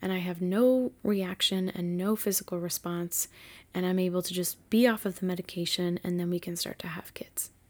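At a moderate pace, a woman with an American accent and an unremarkable speaking voice is heard on a very clean recording with a silent background. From Massachusetts. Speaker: podcast host. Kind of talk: personal storytelling monologue. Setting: home bedroom.

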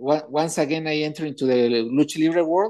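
A man with a Mexican accent talks at a moderate pace in a fairly high pitch with ordinary pitch variation. His tone is dark and mellow, and the background is quiet. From Mexico. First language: Spanish. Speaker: wrestling promoter. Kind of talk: interview. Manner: halting.

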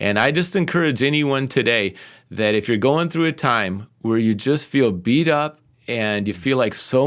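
A man with a plain, everyday voice at medium pitch, ordinary pitch variation and a moderate pace, in a very clean recording with a silent background. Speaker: pastor and former pro soccer player. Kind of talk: casual interview conversation.

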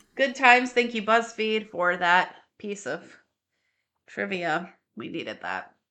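Against a quiet background, a woman with a medium pitch, a bright, sharp tone and vocal fry speaks at a fairly slow pace with lively intonation, big swings in loudness, and long, frequent pauses. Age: 30s. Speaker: podcast co-host. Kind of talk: casual chat.

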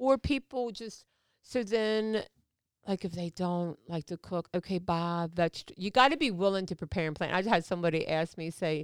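An ordinary speaking voice moves at a fairly quick pace with ordinary pitch variation. The recording is very clean, dry and close, with no echo and a silent background. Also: woman. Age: 50s. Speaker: podcast guest, hairdresser and supplement business owner. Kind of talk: casual interview chat, personal testimony. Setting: studio.

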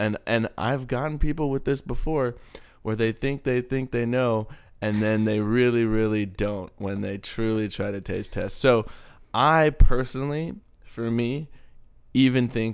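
A man with an American accent speaks at a moderate pace in an ordinary speaking voice. His pitch varies in an ordinary way, and the background is quiet. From Texas. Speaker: podcast co-host. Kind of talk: casual chat.

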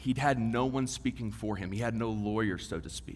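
With a Texan accent, a man speaks with vocal fry, and audible room echo surrounds his voice. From West Texas. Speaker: divinity student, guest preacher. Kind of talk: sermon.

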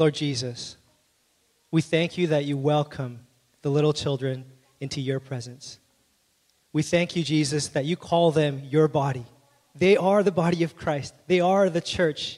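Speaking fairly slowly with long, frequent pauses, a man uses a fairly high pitch and fairly even intonation. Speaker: pastor. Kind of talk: church announcements and prayer. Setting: church. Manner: warm, friendly, halting.

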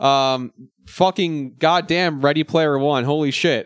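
Loud and fairly slow, a man speaks with a dry, close sound that has no echo. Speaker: podcast host. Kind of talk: casual chat. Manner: high energy, loud.

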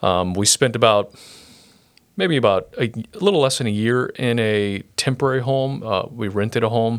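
A man with an unremarkable speaking voice talks at medium pitch and a moderate pace, with ordinary pitch variation. The recording is very clean, with a silent background. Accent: American. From Brazil (Sorocaba), US missionary family. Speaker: pastor. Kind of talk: interview testimony. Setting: podcast studio, sharing one mic.

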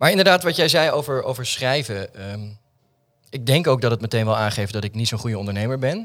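On a very clean recording with a silent background, a man with an ordinary speaking voice talks at a fairly quick pace, medium in pitch and lively in intonation. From Netherlands, Alphen aan de Rijn (South Holland). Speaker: artist and theatre maker. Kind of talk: casual interview chat. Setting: studio in an office building.

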